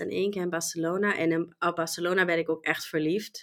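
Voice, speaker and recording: A woman speaks at a very fast pace. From Germany. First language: German (speaking Dutch). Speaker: e-commerce professional. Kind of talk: interview. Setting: online call.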